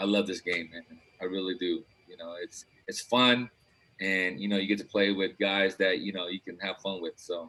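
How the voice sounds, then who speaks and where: With a very deep, low pitch and fairly even intonation, a man speaks at a moderate pace with big swings in loudness. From Philippines, raised in Los Angeles from age 8. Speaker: basketball coach. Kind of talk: casual interview chat.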